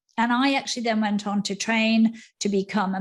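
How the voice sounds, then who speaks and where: A somewhat breathy woman at a fairly high pitch and moderate pace, fairly even intonation, on a very clean recording with a silent background. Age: 60s. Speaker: menopause educator. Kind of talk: interview.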